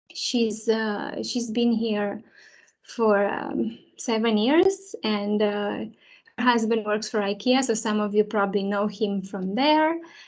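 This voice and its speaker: Speaking very slowly, a woman uses a fairly high pitch with a Romanian accent. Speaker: early years teacher. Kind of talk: presentation to parents. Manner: hesitant, many fillers.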